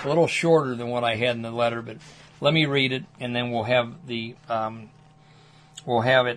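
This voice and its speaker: A man's medium-pitched voice at a moderate pace, with fairly even intonation, long, frequent pauses and noticeable background noise. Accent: American. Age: 60s. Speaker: political activist. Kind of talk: reading aloud.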